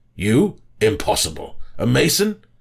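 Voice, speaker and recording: A man's fairly high-pitched, put-on character voice at a moderate pace. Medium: read story.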